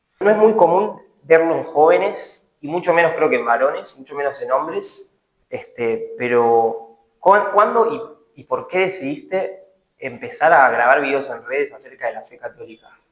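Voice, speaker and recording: The pace is moderate as a man speaks. His loudness swings widely. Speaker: interviewer. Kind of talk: interview.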